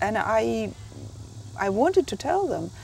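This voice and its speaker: Over noticeable background noise, a woman speaks with a Russian accent. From Russia (Soviet Union). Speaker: memoir author. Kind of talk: interview. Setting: writers conference. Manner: halting.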